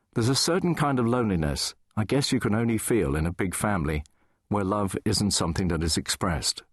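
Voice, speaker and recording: Against a quiet background, a man with a fairly low pitch talks at a very fast pace, his pitch swinging very widely while his loudness stays very even, the sound dry and close with no echo. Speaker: radio DJ. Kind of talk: audiobook memoir reading.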